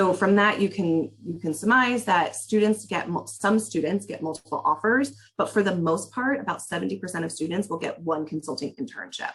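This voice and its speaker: A somewhat breathy female voice at medium pitch, moving at a fairly quick pace. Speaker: university career advisor. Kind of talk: webinar presentation. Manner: fast.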